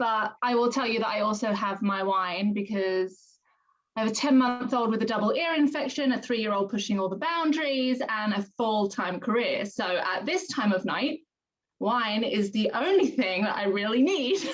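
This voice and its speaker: In a British accent, a woman speaks with a fairly high pitch and ordinary pitch variation. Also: moderate pace. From London, England. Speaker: direct sales consultant. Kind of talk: video call testimony.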